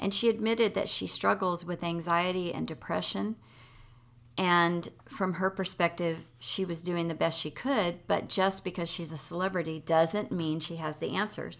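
A woman's fairly low voice with vocal fry and ordinary pitch variation, on a very clean recording with a silent background. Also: moderate pace. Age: 50s. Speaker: podcast host, former teacher. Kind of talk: casual chat. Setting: in person, same room.

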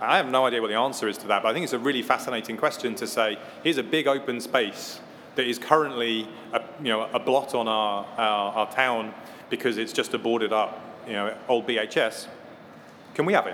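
A man speaks at a fairly quick pace in an ordinary speaking voice, with ordinary pitch variation. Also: medium pitch for a man. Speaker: technology company education director, panellist. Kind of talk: panel discussion.

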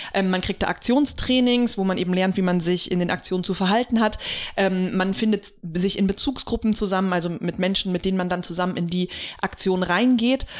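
Using an ordinary speaking voice, a woman talks at a fairly quick pace in a medium pitch. Her intonation is fairly even and her loudness very even. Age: 30s. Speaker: podcast co-host and activist. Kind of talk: casual chat.

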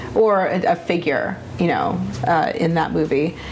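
Speaking at a fairly slow pace, a woman is heard with noticeable background noise and audible room echo. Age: 30s. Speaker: animal photographer. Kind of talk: casual chat.

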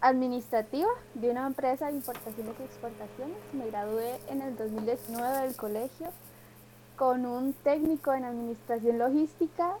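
A woman speaks with a Costa Rican accent at a high pitch, with ordinary pitch variation. Noticeable background noise runs underneath. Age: 20s. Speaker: leadership coach. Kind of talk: casual interview.

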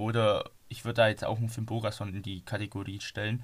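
The recording is very clean with a silent background. A man speaks at a moderate pace. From Donau-Ries, Bavaria. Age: 20s. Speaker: football podcaster. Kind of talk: casual chat.

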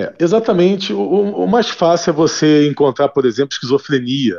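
The man's voice sits fairly high and swings very widely in pitch. He keeps a moderate pace. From Brazil, Rio de Janeiro. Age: 40s. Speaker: neuroscientist. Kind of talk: radio interview. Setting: phone call.

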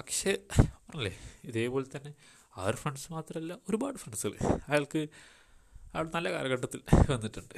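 This is a man's voice. Its pitch swings very widely. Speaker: podcaster, storyteller. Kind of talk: storytelling monologue. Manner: halting. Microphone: poor mic quality.

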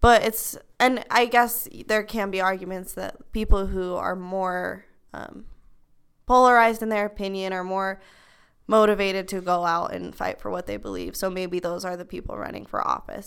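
Big swings in loudness at a moderate pace, on a very clean recording with a silent background. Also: woman. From Utah, US. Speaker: university student. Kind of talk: casual chat. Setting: library study room.

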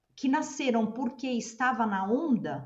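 A woman talks very slowly, her voice somewhat breathy. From Brazil. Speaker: podcast co-host. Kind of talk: podcast interview.

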